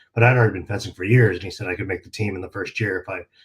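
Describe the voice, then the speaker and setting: The speaker has an American accent and sounds somewhat breathy. Pitch moves with ordinary variation. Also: man. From California. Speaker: martial arts magazine publisher. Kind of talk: interview.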